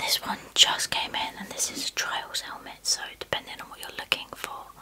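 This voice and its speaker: The speaker is a woman. She is whispering. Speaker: presenter. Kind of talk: product review chat. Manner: soft ASMR-style quiet voice. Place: studio. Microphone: studio mic.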